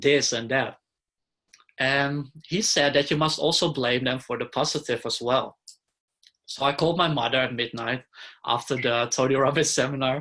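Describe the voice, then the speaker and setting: Against a quiet background, a man speaks at a moderate pace and a medium pitch with a bright, sharp tone, fairly even intonation, and long, frequent pauses. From Netherlands. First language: Dutch. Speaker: interviewee sharing life story. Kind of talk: interview.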